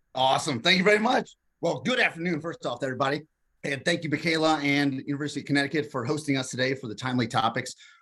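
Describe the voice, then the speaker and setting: Talking very fast with ordinary pitch variation, a man with a Kentucky accent has a bright, sharp tone against a quiet background. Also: fairly high pitch for a man. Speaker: entrepreneurship professor. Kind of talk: online workshop presentation.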